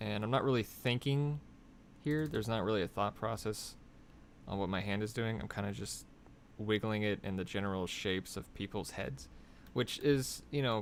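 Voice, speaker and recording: Using lively intonation, a man talks at a moderate pace with a fairly low pitch. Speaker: concept artist. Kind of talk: live drawing tutorial. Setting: live stream. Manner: casual, thinking aloud; quiet, soft-spoken while concentrating.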